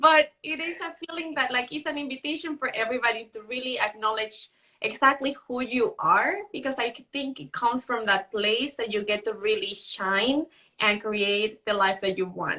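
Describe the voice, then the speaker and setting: With a Mexican accent, a woman speaks at a moderate pace in a high pitch, her tone bright and sharp and her intonation lively. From Mexico. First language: Spanish. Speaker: author and live show host. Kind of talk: Instagram live conversation. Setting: Instagram live video stream.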